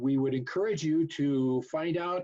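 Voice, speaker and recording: This is a man with an unremarkable speaking voice, pitched fairly high. He talks at a fairly slow pace with ordinary pitch variation. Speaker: master model railroader. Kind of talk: event welcome address.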